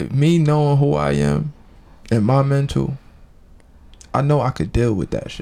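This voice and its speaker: Amid noticeable background noise, a man talks at a moderate pace in an animated tone, with long, frequent pauses. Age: 20s. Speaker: podcast guest. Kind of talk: casual chat.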